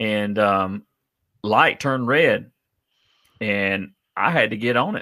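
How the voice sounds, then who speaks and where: In a very clean recording with a silent background, a man with a Southern US accent speaks at a fairly low pitch in a bright, sharp tone. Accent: Southern US (Georgia). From South Georgia (Adel), US South. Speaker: podcast host, trucker. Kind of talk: casual interview.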